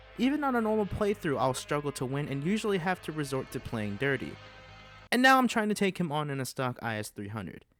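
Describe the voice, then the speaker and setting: A man talks at a very fast pace with a fairly high pitch and very wide pitch swings. Music plays in the background. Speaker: YouTube gaming channel host. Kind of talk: gaming commentary over gameplay.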